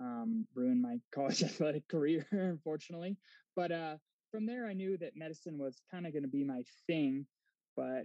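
In an unremarkable speaking voice, a man talks at a fairly quick pace with ordinary pitch variation. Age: 30s. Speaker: physician assistant. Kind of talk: casual interview.

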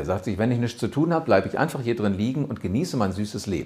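Animated in tone, a man at a medium pitch talks with lively intonation. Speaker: rhetoric coach and podcast host. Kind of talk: tutorial.

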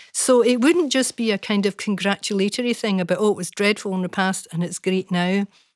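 A woman speaks in a normal speaking voice with fairly even intonation. The recording is very clean with a silent background and a dry, close sound with no echo. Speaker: former children's commissioner and professor. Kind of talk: panel conversation.

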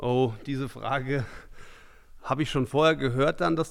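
A man's unremarkable speaking voice at medium pitch, fairly quick pace, very clean recording with a silent background. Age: 40s. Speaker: amateur football coach. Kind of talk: podcast interview.

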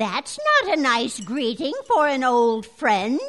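Using a put-on character voice, a woman speaks high-pitched at a fairly slow pace with ordinary pitch variation. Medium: audio drama. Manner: prim, sugary politeness hiding menace.

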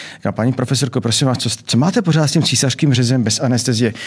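A man speaks at a very fast pace with a medium pitch and ordinary pitch variation. His voice is somewhat breathy. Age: 60s. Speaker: anesthesiologist and obstetrician. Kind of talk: interview. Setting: studio.

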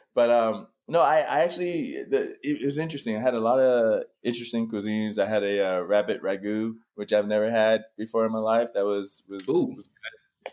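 Here a man talks with an American accent at a fairly quick pace. He has a plain, everyday voice with ordinary pitch variation. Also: medium pitch for a man. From US South. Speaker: actor. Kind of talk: casual interview.

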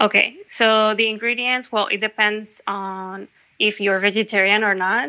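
A woman's fairly high, bright, sharp voice at a fairly slow pace, with monotone, flat intonation, in a very clean recording with a silent background. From Mexico, Sonora. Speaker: home cook. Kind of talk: casual chat.

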